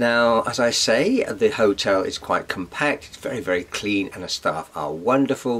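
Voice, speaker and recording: A man speaks with an English accent. Noticeable background noise runs underneath. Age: 60s. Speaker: vlogger. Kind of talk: casual vlog talk.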